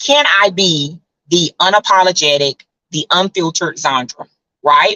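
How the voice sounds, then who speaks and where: A woman's animated tone with lively intonation at a fairly slow pace. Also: fairly low pitch for a woman. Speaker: travel community founder and livestream host. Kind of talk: live stream talk to viewers. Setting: live video stream. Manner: loud.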